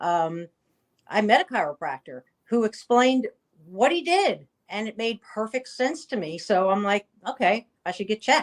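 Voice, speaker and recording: In an American accent, a woman with a fairly high pitch talks at a moderate pace with very wide pitch swings, the sound dry and close with no echo. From New Jersey. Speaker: chiropractor. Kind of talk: interview.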